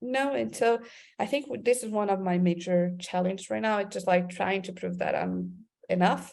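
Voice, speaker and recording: A woman with a Portuguese accent, a medium pitch, very wide pitch swings, and a moderate pace. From Brazil, Amazon region. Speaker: creative director. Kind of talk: interview. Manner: halting, many repeated words.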